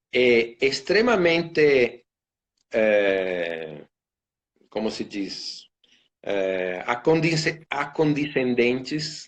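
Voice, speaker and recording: At a very slow pace and in an Italian accent, the speaker swings very widely in pitch, leaving long, frequent pauses. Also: man, medium pitch for a man. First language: Italian (speaking Portuguese). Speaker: violinist and orchestra concertmaster. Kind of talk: casual interview on a live stream. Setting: Instagram live video call. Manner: halting, many fillers and repetitions.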